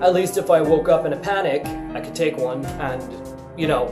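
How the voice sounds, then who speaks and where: A man with a fairly high pitch speaks at a fairly quick pace amid noticeable background noise. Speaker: vlogger. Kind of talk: casual talk to camera. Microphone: webcam.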